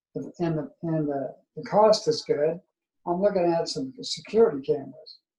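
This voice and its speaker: Speaking at a fairly slow pace, the man has a high pitch and a dark, mellow tone. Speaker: person with ALS. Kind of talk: casual chat. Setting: video call. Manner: soft-spoken; halting.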